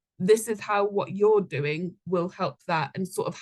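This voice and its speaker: Her medium-pitched voice shows ordinary pitch variation as the woman speaks. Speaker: volunteering manager giving a talk. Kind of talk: presentation talk. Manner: fast.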